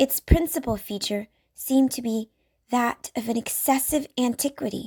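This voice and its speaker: A woman speaks at a fairly slow pace, somewhat breathy, with ordinary pitch variation. The recording is very clean with a silent background, and the sound is dry and close with no echo. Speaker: audiobook reader. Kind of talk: classic story reading.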